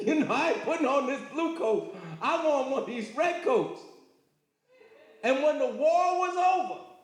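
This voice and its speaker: Speaking at an extremely high pitch with lively intonation, a man keeps a moderate pace but takes long, frequent pauses. The room echo is audible. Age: 70s. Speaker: lecturer. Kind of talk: lecture. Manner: animated.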